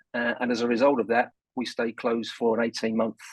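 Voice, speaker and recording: Speaking in a London accent, a man talks at medium pitch and a fairly quick pace, with a dry, close sound and no echo. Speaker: business leader, board chairman. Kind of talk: radio interview.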